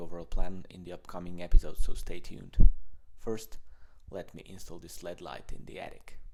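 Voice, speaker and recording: A man with a Polish accent and a very deep, low pitch talks at a fairly quick pace in a dark, mellow tone, his intonation monotone and flat while his loudness swings widely. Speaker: vlogger, amateur runner. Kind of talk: video diary.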